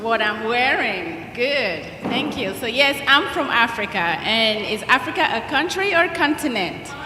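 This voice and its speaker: With a Nigerian accent and very wide pitch swings, the speaker goes at a fairly slow pace with hardly any pauses over noticeable background noise. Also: woman, high pitch for a woman. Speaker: guest speaker at school chapel. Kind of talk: talk to schoolchildren. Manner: animated.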